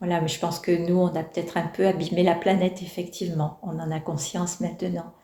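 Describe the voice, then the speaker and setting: A woman talks at a fairly quick pace with monotone, flat intonation over noticeable background noise. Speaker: elderly interviewee. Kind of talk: reflective interview. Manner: hesitant, many fillers.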